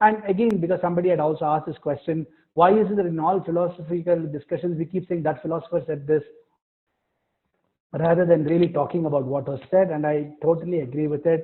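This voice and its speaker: A man talks at a very fast pace. His high voice keeps a fairly even intonation. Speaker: philosophy professor. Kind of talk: lecture.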